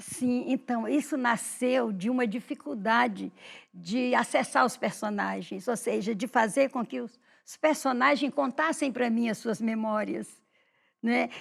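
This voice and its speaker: A woman speaks at a fairly slow pace with vocal fry, her pitch fairly high with ordinary variation. The recording is very clean, with a silent background. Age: 70s. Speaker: writer and teacher. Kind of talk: interview.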